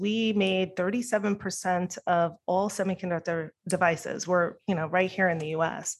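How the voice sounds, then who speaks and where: In a normal speaking voice with an American accent, the speaker goes at a fairly slow pace with ordinary pitch variation. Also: woman. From New York. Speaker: political candidate and company CEO. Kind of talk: casual interview. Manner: fluent, conversational.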